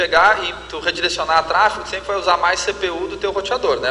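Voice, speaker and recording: A man talks at a fairly quick pace. Noticeable background noise can be heard throughout. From Rio Grande do Sul, Brazil. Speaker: tech company representative. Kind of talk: Q&A panel at conference.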